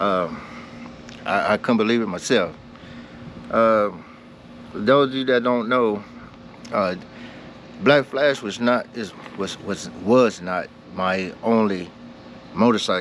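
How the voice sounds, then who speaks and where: A man talks at a very slow pace, leaving long, frequent pauses. His pitch shows ordinary variation, with noticeable background noise behind him. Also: medium pitch for a man. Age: 70s. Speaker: motorcycle vlogger. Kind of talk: casual vlog storytelling.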